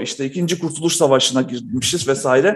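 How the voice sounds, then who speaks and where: A man in an ordinary speaking voice, at a moderate pace with ordinary pitch variation. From North Macedonia (Yugoslavia), Balkan Turk. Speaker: entrepreneur and researcher. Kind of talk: casual interview conversation.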